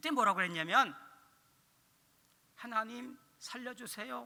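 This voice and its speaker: A man's raised, projected voice in a bright, sharp tone at a very slow pace. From Korea, Chungcheong (Dangjin). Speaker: pastor / evangelism teacher. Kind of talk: sermon.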